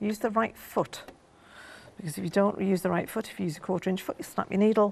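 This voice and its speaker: Very fast speech with an English accent, vocal fry and fairly even intonation. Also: woman, medium pitch for a woman. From England. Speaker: craft designer demonstrator; quilting instructor. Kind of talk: live TV shopping demo. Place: studio. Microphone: lapel.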